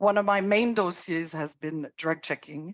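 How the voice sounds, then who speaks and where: A woman in a French accent, fairly even in intonation and moderate in pace, with a dry, close sound, no echo, and a quiet background. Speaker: harm reduction worker. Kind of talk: panel introduction.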